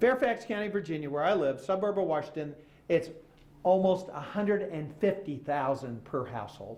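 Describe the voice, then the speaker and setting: With an American accent and a fairly high pitch, a man speaks in an animated tone and lively intonation, with audible room echo. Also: moderate pace. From Oklahoma. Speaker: author and former journalist. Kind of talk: public lecture. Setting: stage with audience.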